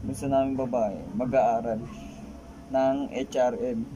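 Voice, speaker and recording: Over noticeable background noise, a man speaks at a very slow pace in a monotone, flat intonation. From Philippines. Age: 20s. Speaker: vlogger. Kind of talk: casual vlog introduction; casual vlog chat. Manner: halting, stumbling. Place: home room. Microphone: phone near.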